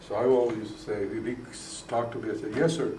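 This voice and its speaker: An American-accented man talks at a very fast pace amid noticeable background noise and audible room echo. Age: 60s. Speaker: state legislator. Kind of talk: interview. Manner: halting.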